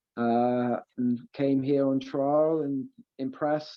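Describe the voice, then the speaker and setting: A man's fairly high voice with a slight Welsh accent, monotone, flat intonation and a very slow pace. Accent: slight Welsh tinge. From Wales, Aberystwyth (west coast). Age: 20s. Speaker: professional footballer. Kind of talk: interview. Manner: hesitant, many fillers.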